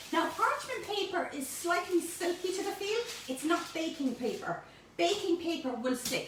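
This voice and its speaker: Speaking at a moderate pace, a woman with a Cork accent has an extremely high pitch. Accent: Irish, Cork. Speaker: home baking presenter. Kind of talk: cooking tutorial. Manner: animated; high-pitched.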